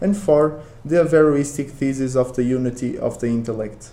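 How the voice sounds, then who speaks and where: With audible room echo, a man with a Portuguese accent talks at a moderate pace in a fairly high pitch, his intonation fairly even. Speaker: academic researcher. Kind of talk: conference talk. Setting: conference with audience.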